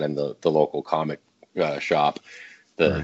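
A man's very deep, low voice carries along at a moderate pace. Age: 30s. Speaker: comic book creator. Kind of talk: interview. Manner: halting.

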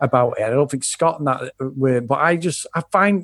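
In a quiet background, a man with an English accent speaks at a fairly high pitch with lively intonation. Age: 40s. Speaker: podcast host and film fan. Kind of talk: casual chat.

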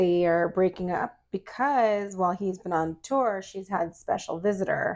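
A woman talks with an ordinary speaking voice at a medium pitch. Her pace is fairly slow, with hardly any pauses. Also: ordinary pitch variation. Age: 40s. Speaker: podcast co-host, mother. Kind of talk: casual chat. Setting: home recording at night.

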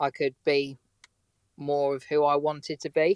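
A man with an English accent has a fairly high pitch. The sound is dry and close, with no echo. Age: 20s. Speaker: car mechanic. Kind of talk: casual interview chat. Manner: laid back.

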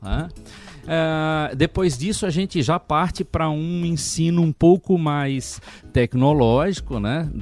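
A man with a southern Brazilian accent speaks at a very slow pace, his pitch fairly high and its variation ordinary. The sound is dry and close with no echo, and music plays in the background. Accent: noticeable southern Brazilian. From Santa Catarina, southern Brazil. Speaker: education director. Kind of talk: interview. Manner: hesitant, many filler sounds.

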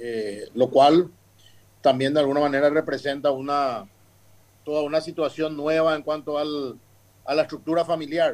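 A man with a fairly high voice speaks at a moderate pace, his intonation fairly even and broken by long, frequent pauses. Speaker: family business consultant. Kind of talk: interview. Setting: remote line from abroad.

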